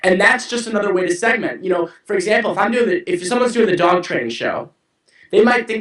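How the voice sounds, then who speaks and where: A man speaks with an American accent. His tone is animated. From US Midwest, St. Louis, Missouri. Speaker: web show host and entrepreneur. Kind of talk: interview. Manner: fast.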